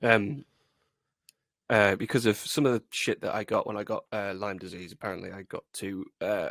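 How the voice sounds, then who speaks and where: On a very clean recording with a silent background, the voice moves at a moderate pace with big swings in loudness, its sound dry and close with no echo. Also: man. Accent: British. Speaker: podcast co-host. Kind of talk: casual chat.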